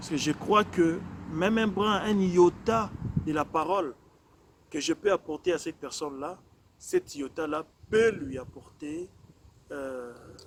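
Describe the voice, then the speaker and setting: Very slowly and with long, frequent pauses, a man speaks at a high pitch, his loudness swinging widely while his pitch varies in an ordinary way. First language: not French (speaking French). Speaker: preacher. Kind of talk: sermon. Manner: measured, calm pace; hesitant, many fillers and repetitions.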